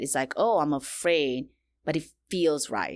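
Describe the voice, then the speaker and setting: A woman with a non-native accent speaks at a moderate pace in a very deep, low pitch with ordinary pitch variation. The recording is very clean, with a silent background. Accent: foreign. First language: not English. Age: 40s. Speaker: women's coach and speaker. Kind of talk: podcast interview. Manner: animated.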